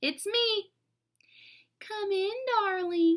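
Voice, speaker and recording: An extremely high, female-sounding put-on character voice is performed here. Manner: sweet, coaxing.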